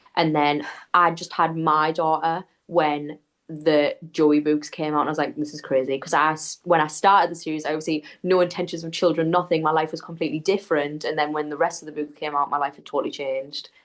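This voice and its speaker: The speaker talks at a fairly quick pace in a monotone, flat intonation. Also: woman, very deep, low pitch for a woman, big swings in loudness. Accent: strong Geordie. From northeast England (Newcastle area). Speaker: book content creator. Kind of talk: casual chat.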